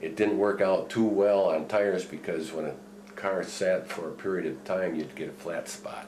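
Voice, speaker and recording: The speech goes at a fairly slow pace with long, frequent pauses and ordinary pitch variation, heard through audible room echo and noticeable background noise. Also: man. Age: 70s. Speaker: retired chemical plant worker. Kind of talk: oral history interview. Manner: halting.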